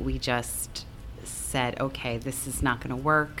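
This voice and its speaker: At a very slow pace, the speaker talks with an American accent amid audible room echo. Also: woman. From US Northeast (Long Island, New York). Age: 40s. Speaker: bar and music venue owner. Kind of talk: casual interview. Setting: on a venue stage.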